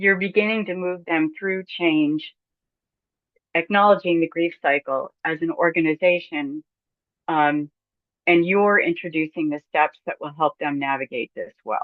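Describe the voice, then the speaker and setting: Here a woman speaks fairly slowly in a plain, everyday voice. Her pitch is fairly low and varies in an ordinary way. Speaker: church consultant and seminar presenter. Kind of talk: webinar lecture.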